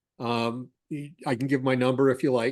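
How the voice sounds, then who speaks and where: Speaking at a moderate pace, a man uses a normal speaking voice pitched fairly high. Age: 60s. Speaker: cash flow consultant. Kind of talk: podcast interview.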